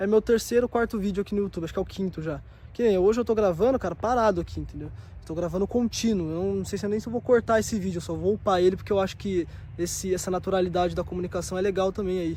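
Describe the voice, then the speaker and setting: A very fast-talking man with a high pitch, a dark, mellow tone and fairly even intonation. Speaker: vlogger, self-development youtuber. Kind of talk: casual vlog monologue. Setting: outdoors at a bus stop. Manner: soft-spoken, sometimes too quiet; casual, slang-filled.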